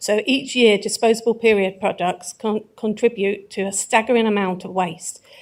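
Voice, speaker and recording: Speaking at a moderate pace with hardly any pauses, a woman with an English accent uses a fairly high pitch and fairly even intonation. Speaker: councillor, executive member. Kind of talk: council meeting answer.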